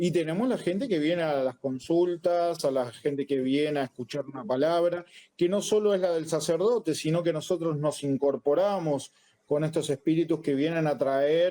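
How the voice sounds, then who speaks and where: A man with a Rioplatense accent, fairly high in pitch, at a moderate pace with ordinary pitch variation. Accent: Argentine Rioplatense Spanish. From Argentina. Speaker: Afro-Brazilian religion priest. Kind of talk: interview conversation.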